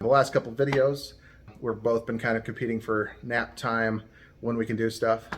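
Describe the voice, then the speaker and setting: This is a man speaking at a medium pitch. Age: 30s. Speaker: vlogger and real estate investor. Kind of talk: casual vlog talk to camera. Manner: fast; hesitant with fillers.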